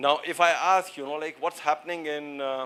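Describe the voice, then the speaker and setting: A man's fairly high, bright, sharp voice in an Indian accent, at a fairly slow pace. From India, Uttarakhand (Dehradun). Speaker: seminar speaker on supply chain and AI. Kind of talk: lecture. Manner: halting, many fillers and repetitions.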